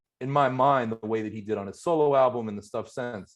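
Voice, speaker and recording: A man with a Pittsburgh accent, fairly quick in pace, with ordinary pitch variation. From US, Pittsburgh. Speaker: hip-hop podcast host. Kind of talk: casual chat, album review.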